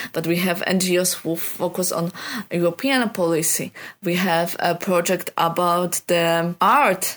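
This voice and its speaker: A woman speaks with a non-native accent. Her voice is fairly low and her pace fairly slow. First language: not English. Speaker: youth project leader. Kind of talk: recorded personal report. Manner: halting.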